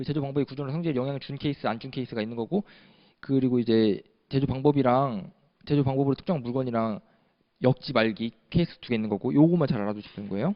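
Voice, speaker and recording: Talking at a very fast pace, a man uses a medium pitch with ordinary pitch variation. His loudness swings widely. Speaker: patent law lecturer. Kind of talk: lecture.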